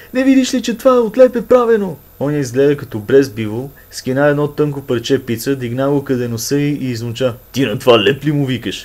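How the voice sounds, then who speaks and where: A man with a northwestern Bulgarian accent, fairly high pitch, ordinary pitch variation and a fairly quick pace. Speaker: storyteller. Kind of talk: humorous dialect story reading.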